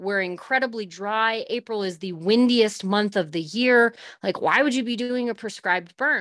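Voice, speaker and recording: A woman with an American accent speaks at a moderate pace and fairly high pitch. Her pitch variation is ordinary, and she has a normal speaking voice. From US West, Northern California. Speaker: rancher. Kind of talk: interview. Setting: remote call while traveling.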